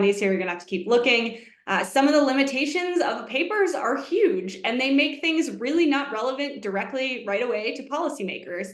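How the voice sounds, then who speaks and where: A woman speaks at a moderate pace with lively intonation, and room echo is audible. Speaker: economics researcher, webinar presenter. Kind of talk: webinar presentation. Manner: animated.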